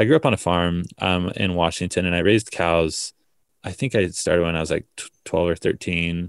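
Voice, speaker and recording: With an American accent, a man with a very deep, low pitch speaks at a moderate pace with fairly even intonation, on a very clean recording with a silent background and a dry, close sound with no echo. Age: 20s. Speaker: startup founder. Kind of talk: interview.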